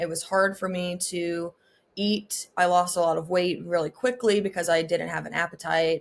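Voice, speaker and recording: A woman with an American accent, a plain, everyday voice, a fairly low pitch and a moderate pace. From US South. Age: 20s. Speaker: mental health advocate and graduate student. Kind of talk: podcast interview. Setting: video call.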